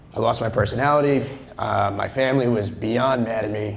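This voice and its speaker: A man speaks with an American accent at a medium pitch and ordinary pitch variation. There is audible room echo. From Long Island, New York. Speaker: real estate agent, conference speaker. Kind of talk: conference talk. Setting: stage with audience. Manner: loud; casual, joking.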